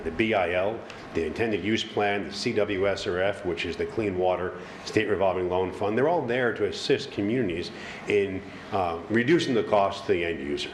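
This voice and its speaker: Fairly low-pitched man with an American accent, fairly quick, with ordinary pitch variation, audible room echo and noticeable background noise. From Long Island, New York. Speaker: funding consultant presenting to town board. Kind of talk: presentation at public meeting. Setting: town board meeting. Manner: fast.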